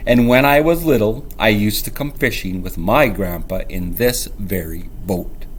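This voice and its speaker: Putting on a gruff, growling character voice, a man speaks at a moderate pace and medium pitch with hardly any pauses, over clear background noise. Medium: read story.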